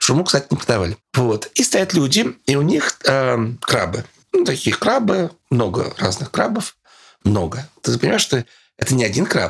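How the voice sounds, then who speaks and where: Talking at a moderate pace and medium pitch, a man's voice shows vocal fry and very wide pitch swings. His loudness stays very even. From Russian Far East, Sakhalin. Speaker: journalist and lecturer, travel expert. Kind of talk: interview, casual travel storytelling.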